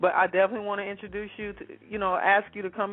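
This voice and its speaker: A woman is speaking. Her pace is very fast. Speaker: radio host and producer. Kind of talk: live radio show intro. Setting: radio studio. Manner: animated, high energy.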